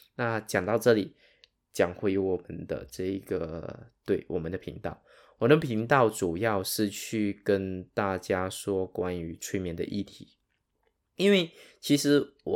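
A man with a Sarawak accent speaks at a very slow pace, his pitch fairly low with ordinary variation. The recording is very clean, with a silent background. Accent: Sarawak Malaysian Mandarin accent, noticeable. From Sarawak, East Malaysia. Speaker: hypnotherapist and podcast host. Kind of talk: solo podcast monologue. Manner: casual, with many fillers.

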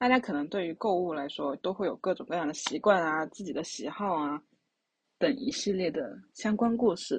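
Somewhat breathy and medium in pitch, a woman speaks at a moderate pace with lively intonation. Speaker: podcast co-host. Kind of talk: casual chat.

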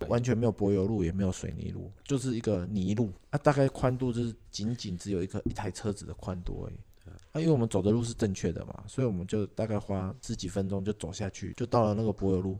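Speaking at a very fast pace, a man uses a fairly low pitch and a dark, mellow tone with ordinary pitch variation. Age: middle-aged. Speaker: podcast host. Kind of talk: casual chat.

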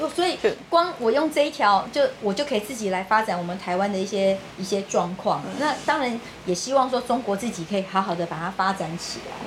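With lively intonation, a woman speaks at a fairly quick pace over noticeable background noise. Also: medium pitch for a woman. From Taiwan. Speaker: political party secretary-general. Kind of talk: interview.

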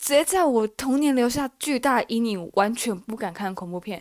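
A woman at a fairly high pitch, moderate pace and lively intonation, on a very clean recording with a silent background. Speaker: solo podcaster. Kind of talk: casual chat. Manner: stumbles over words.

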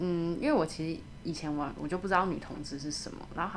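Audible room echo around a woman talking at a fairly quick pace. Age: 30s. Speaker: radiographer. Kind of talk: casual interview.

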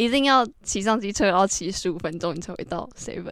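A woman talks very fast at a medium pitch. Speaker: guest sharing travel experience. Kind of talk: casual chat.

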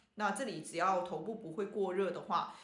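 A woman at a medium pitch and a fairly quick pace, with audible room echo. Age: 40s. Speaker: traditional Chinese medicine doctor. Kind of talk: podcast health talk. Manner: casual with many fillers.

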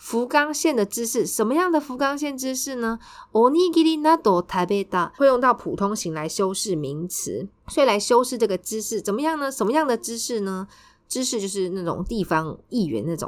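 With a Taiwanese accent and a fairly high pitch, a woman speaks at a moderate pace, her voice making very wide pitch swings. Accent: Taiwanese Mandarin. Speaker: Japanese language tutor and podcast host. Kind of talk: language lesson explaining news.

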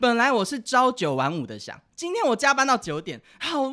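The delivery is animated and moves at a moderate pace. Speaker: podcast co-host. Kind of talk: casual chat. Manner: animated, frequent laughter.

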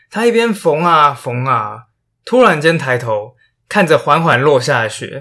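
A man speaks at a fairly slow pace with a bright, sharp tone and a fairly high pitch, his voice swinging very widely up and down, on a very clean recording with a silent background. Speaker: history podcaster. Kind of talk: storytelling podcast narration. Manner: animated. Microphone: new microphone.

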